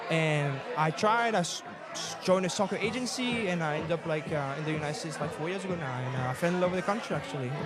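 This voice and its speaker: Amid crowd noise and audible room echo, a man with a French accent talks at a very fast pace in a high pitch with lively intonation. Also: hardly any pauses. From France. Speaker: assistant soccer coach. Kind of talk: casual chat. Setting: live event in a bar with audience.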